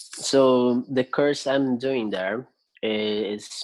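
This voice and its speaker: The intonation is fairly even, delivered with a Brazilian Portuguese accent. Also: man. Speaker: music student. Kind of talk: interview conversation. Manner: hesitant, many fillers.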